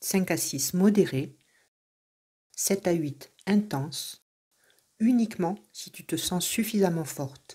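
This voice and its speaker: A woman speaks very slowly in a calm, soothing, somewhat breathy tone. Long, frequent pauses break up her speech, and her loudness swings widely. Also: medium pitch for a woman, lively intonation. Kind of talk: guided meditation. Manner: soft, calm, slow and soothing.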